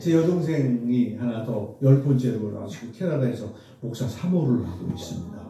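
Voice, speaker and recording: The speech moves at a moderate pace with lively intonation and big swings in loudness. Audible room echo and noticeable background noise are present. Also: man, medium pitch for a man. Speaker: medical professor. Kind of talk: testimony. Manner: conversational.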